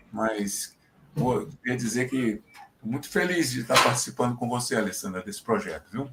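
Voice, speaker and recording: Here a man speaks at medium pitch and a moderate pace, with ordinary pitch variation. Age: 60s. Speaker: university professor, research group coordinator. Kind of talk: casual self-introduction in online talk. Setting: video call from home. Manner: halting, hesitant.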